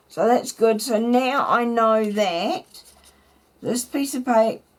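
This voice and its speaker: A woman speaks in a fairly high pitch. Her pace is very slow. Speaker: craft video maker. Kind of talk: tutorial. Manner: casual, chatty.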